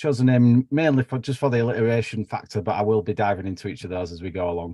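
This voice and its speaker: A very fast man's voice, dry and close with no echo, with ordinary pitch variation. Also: medium pitch for a man. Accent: Yorkshire. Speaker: biology researcher. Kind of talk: lecture. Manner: casual, with fillers.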